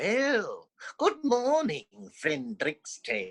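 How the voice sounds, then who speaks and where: A put-on character voice, high in pitch, drawls along at a very slow pace. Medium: read story.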